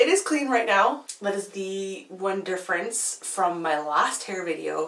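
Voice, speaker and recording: Against noticeable background noise, a woman of medium pitch speaks with lively intonation. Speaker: beauty vlogger. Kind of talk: casual vlog talk. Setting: home, filming at night.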